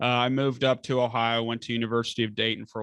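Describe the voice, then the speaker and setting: At a fairly quick pace, a man at medium pitch speaks in a monotone with flat intonation. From Northern Kentucky. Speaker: estate planning attorney. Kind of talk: casual chat.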